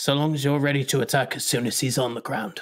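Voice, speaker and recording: Putting on a character voice, a man with a fairly high pitch speaks at a very fast pace in a raspy tone with fairly even intonation. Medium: actual play. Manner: brisk, authoritative.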